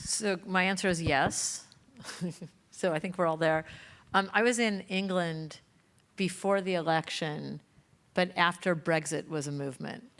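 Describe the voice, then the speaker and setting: Fairly slow, fairly low-pitched woman's voice in an American accent, with long, frequent pauses, ordinary pitch variation and a very clean recording with a silent background. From Los Angeles, California. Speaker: panelist on social media. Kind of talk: panel discussion.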